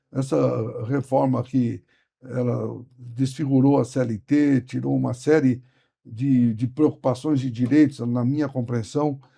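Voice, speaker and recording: Very slow speech from a man at medium pitch, dark and mellow in tone, with fairly even intonation. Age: 70s. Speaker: trade union leader. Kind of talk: interview.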